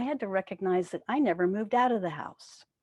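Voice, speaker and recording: A woman with a plain, everyday voice and an American accent talks at a moderate pace with lively intonation against a quiet background. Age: 60s. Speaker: spiritual teacher. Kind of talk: sermon. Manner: conversational.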